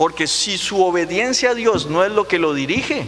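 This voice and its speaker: A man with a Costa Rican accent speaks at a high pitch and a fairly slow pace, with ordinary pitch variation. Noticeable background noise can be heard. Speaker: pastor. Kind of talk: sermon. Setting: church.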